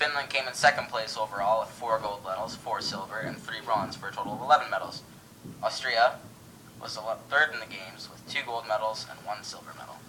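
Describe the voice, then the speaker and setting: A man talks at a fairly quick pace with medium pitch, ordinary pitch variation and big swings in loudness, over noticeable background noise. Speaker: co-host of a school history project radio broadcast. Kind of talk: mock 1920s radio broadcast, scripted co-host talk.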